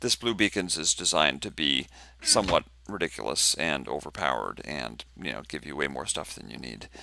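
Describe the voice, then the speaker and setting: A man's bright, sharp tone with vocal fry, at a moderate pace, on a very clean recording with a silent background. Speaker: game mod developer. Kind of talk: tutorial. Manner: casual, hesitant.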